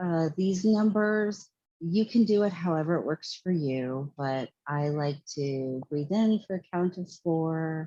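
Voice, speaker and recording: Soft-spoken and lively in intonation, a woman talks at a very slow pace. Her sound is dry and close, with no echo. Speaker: meditation guide. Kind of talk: guided meditation. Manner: louder than usual.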